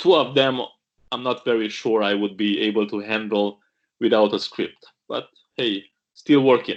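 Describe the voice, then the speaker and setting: A man with a Romanian accent, medium pitch and ordinary pitch variation at a moderate pace with long, frequent pauses. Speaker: pastor. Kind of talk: video interview.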